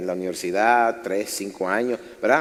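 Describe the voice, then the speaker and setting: This man has an unremarkable speaking voice, with ordinary pitch variation and a moderate pace. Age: 60s. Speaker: pastor. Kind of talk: sermon. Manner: conversational, engaging audience.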